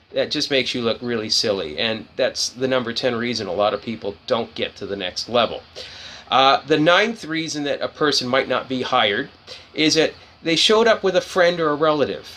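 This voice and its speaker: This man talks at a fairly quick pace in a fairly high voice that swings very widely in pitch. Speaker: career advice speaker. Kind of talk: impromptu talk to camera. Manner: unscripted, hesitant with fillers; blunt.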